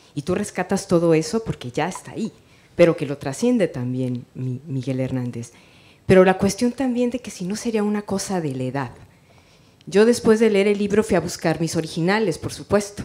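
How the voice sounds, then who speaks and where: Her pitch swinging very widely around a medium level, a woman with a dark, mellow tone speaks at a moderate pace. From Mexico. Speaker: writer and teacher. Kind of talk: audience question at a book presentation. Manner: soft-spoken.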